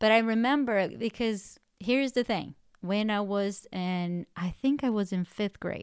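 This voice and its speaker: A woman with a non-native accent, medium pitch and ordinary pitch variation at a fairly slow pace, in a very clean recording with a silent background and a dry, close sound with no echo. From outside the US, immigrated as an adult. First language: not English. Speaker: podcast co-host and coach. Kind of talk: faith-based self-help podcast chat.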